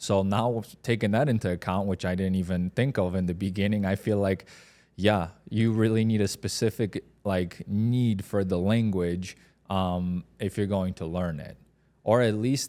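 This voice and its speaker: A man with a Polish accent speaks at a fairly low pitch, with a dark, mellow tone. His moderate pace and fairly even intonation come through on a very clean recording with a silent background. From Poland, then moved abroad as a teen. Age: 30s. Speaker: podcast co-host. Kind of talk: casual chat.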